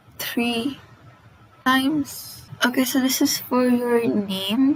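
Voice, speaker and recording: A woman talks at a very slow pace with ordinary pitch variation. Noticeable background noise runs underneath. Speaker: coding tutorial host. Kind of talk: casual tutorial narration. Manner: stammers often.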